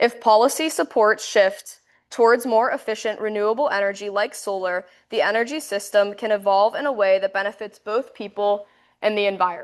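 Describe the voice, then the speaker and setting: This woman talks at a fairly quick pace with a fairly high pitch. Her pitch varies in an ordinary way, and the background is quiet. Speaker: university student presenter. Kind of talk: class presentation. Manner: fast.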